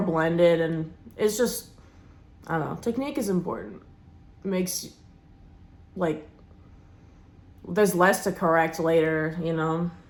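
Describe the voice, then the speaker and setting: A woman speaks at a moderate pace and medium pitch, with ordinary pitch variation. She leaves long, frequent pauses, and room echo is audible. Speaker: beauty vlogger, restaurant worker. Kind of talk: makeup tutorial chat. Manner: casual, filler-heavy; loud.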